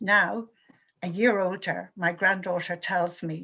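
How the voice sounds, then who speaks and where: Against a quiet background, a woman with an Irish accent talks at medium pitch and a moderate pace, her bright, sharp tone marked by vocal fry. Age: 70s. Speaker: activist speaker. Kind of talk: prepared talk.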